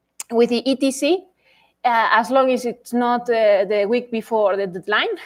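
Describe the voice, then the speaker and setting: The pitch varies in an ordinary way. It is a normal speaking voice. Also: woman. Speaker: astronomy instructor. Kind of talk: lecture.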